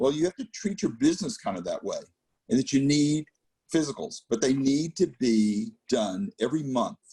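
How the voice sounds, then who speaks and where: A man talks at a moderate pace in a fairly high, somewhat breathy voice. His pitch swings very widely, and the sound is dry and close, with no echo. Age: 60s. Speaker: business advisor. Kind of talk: presentation.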